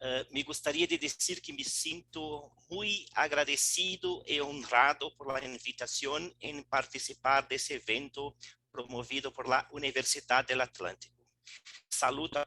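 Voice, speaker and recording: In a non-native accent, a man speaks at a fairly slow pace with a bright, sharp tone, a fairly high pitch with ordinary variation, and a dry, close sound with no echo. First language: Portuguese (speaking Spanish). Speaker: law professor. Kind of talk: formal remarks.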